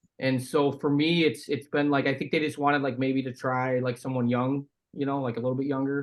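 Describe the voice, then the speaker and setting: A man with an American accent and an ordinary speaking voice talks at a moderate pace, his pitch fairly high. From Chicago area, US Midwest. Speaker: former pro hockey player, podcaster. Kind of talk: casual chat.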